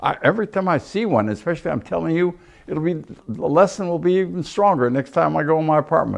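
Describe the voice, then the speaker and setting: Very fast, lively speech from a man with a fairly high pitch against a quiet background. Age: 80s+. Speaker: retiree interviewee. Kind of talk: casual interview. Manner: halting.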